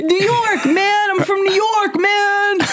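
The speaker uses a put-on character voice at a fairly slow pace. Loud background noise runs underneath. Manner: loudly yelling.

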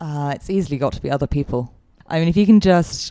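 A woman with a London accent and a dark, mellow tone at a fairly quick pace. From London, England. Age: 30s. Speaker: guest sharing recovery story. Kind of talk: interview.

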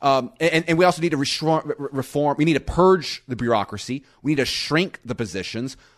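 A man speaks in a plain, everyday voice with an American accent, at fairly high pitch with ordinary variation. He goes at a fairly quick pace with hardly any pauses. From US South, Florida Panhandle. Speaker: economist. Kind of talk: interview.

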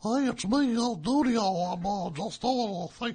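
At a moderate pace, the speaker uses a put-on character voice at a fairly high pitch. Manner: fake, exaggerated announcer voice.

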